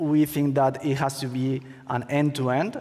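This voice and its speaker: Man with a Spanish accent, medium pitch and fairly even intonation. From Spain. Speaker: crypto startup co-founder, former attorney. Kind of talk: conference talk. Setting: stage with audience. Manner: halting.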